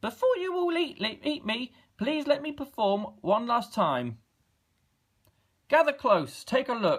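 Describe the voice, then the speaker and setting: A man performs a put-on character voice at an extremely high pitch. He speaks at a fairly slow pace, with long, frequent pauses. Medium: read story. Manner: showy, cheerful.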